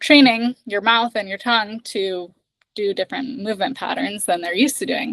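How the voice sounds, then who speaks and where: Here a woman has an unremarkable speaking voice with an American accent, pitched fairly high. She keeps a moderate pace and ordinary pitch variation, with a dry, close sound and no echo. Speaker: accent trainer. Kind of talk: casual chat.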